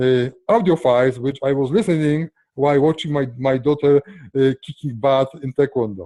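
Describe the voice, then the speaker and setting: A man with a strong non-native accent speaks at a moderate pace with hardly any pauses, his dark, mellow tone sitting fairly high in pitch, with ordinary pitch variation and a dry, close sound with no echo. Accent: strong foreign. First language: not English. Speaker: software entrepreneur. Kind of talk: interview. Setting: call. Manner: halting.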